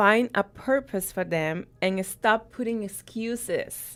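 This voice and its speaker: A woman speaks with a Spanish accent and lively intonation. The recording is very clean, with a silent background. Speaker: radio segment host. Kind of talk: radio interview. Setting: radio studio, live.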